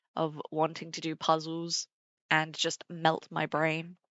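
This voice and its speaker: A woman speaks with a British accent. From Britain. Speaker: streamer. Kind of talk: casual chat.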